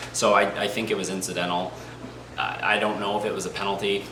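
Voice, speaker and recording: A man's fairly low voice at a fairly quick pace, with audible room echo and noticeable background noise. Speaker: hockey fan youtuber. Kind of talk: casual commentary monologue. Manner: fast; animated.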